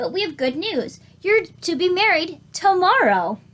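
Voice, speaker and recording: A woman puts on a character voice at an extremely high pitch. She keeps a moderate pace. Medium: read story. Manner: forceful.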